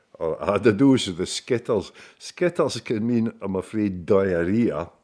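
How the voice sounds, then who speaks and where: At a fairly slow pace, a man speaks with lively intonation in a dark, mellow tone and fairly low pitch. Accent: Scottish. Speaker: local storyteller. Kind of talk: casual monologue. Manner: hesitant, with many fillers.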